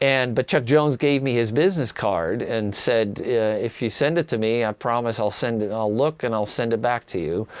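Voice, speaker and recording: A man's medium-pitched voice at a moderate pace, with hardly any pauses. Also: ordinary pitch variation. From Netherlands, moved to Northern California at 11. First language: Dutch. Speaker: animator. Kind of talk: interview, personal storytelling. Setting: home studio. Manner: halting, many fillers and repeats.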